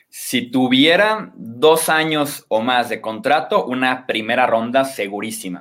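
A man with a medium-pitched voice talks at a very slow pace, his intonation lively and hardly any pauses between phrases. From Mexico, Guadalajara, Jalisco. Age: 20s. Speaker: sports journalist and analyst. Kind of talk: podcast interview, sports analysis.

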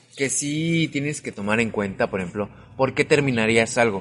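A man uses a normal speaking voice at a medium pitch with lively intonation over a quiet background. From Mexico City. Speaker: podcast host. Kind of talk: casual chat.

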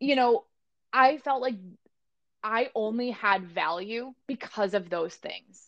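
With an American accent, a woman talks at a fairly high pitch and a very slow pace, using ordinary pitch variation and long, frequent pauses. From US Midwest, Barrington, Illinois. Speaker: dance studio manager. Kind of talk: casual chat. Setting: remote call.

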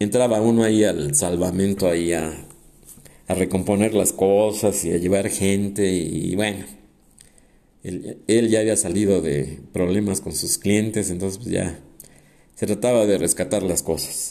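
Speaking at a fairly slow pace with long, frequent pauses, a man uses a dark, mellow tone. His pitch is fairly low, with ordinary variation. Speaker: podcast host, semi-retired architect. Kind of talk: casual monologue. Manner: hesitant, repeats words.

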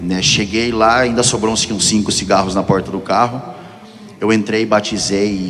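Noticeable background noise runs through the clip. A man talks at a moderate pace, his pitch varying in an ordinary way. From Piracicaba, São Paulo state, Brazil. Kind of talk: testimony.

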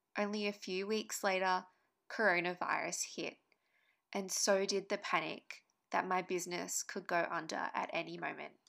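On a very clean recording with a silent background, a woman with an Australian accent speaks at a medium pitch in a bright, sharp tone, flat and monotone, with vocal fry. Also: moderate pace. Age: 30s. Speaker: podcast co-host and online business owner. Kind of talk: podcast monologue, personal story.

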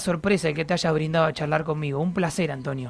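A man with an Argentine accent at a very fast pace, over noticeable background noise. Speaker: radio host. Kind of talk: casual chat. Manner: animated.

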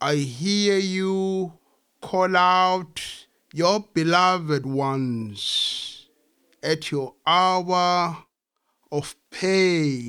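A high male voice, bright and sharp in tone, at a very slow pace with ordinary pitch variation, on a very clean recording with a silent background. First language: Zulu. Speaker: poet and translator. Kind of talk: poetry reading.

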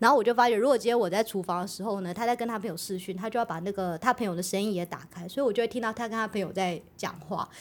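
The speech runs at a very fast pace with hardly any pauses. Its pitch varies in an ordinary way. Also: woman, medium pitch for a woman. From Taiwan. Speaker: podcast co-host. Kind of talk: casual chat.

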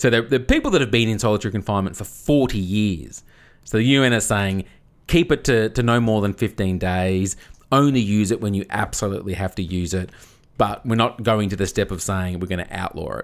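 Speaking with an Australian accent, a man talks at a fairly quick pace in a fairly low pitch. His pitch varies in an ordinary way, and the recording is very clean with a silent background. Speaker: podcast co-host. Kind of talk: casual comedic chat. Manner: laughs often.

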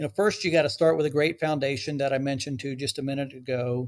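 Speaking with an American accent, this is an unremarkable speaking voice with fairly even intonation. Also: man. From Texas, Dallas-Fort Worth. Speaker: real estate developer executive. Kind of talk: interview.

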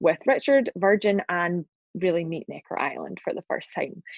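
A woman with a Scottish accent speaks slowly, at a fairly low pitch and a fairly slow pace. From Glasgow, Scotland. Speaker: entrepreneur and business advisor. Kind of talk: interview.

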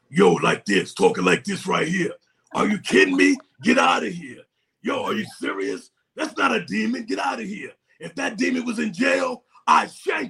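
A man shouting in a put-on character voice, high-pitched, with a New York accent, at a moderate pace. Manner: brash, incredulous.

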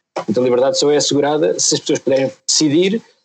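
At a very fast pace, a man talks in a fairly high register. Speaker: member of parliament. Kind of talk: podcast discussion.

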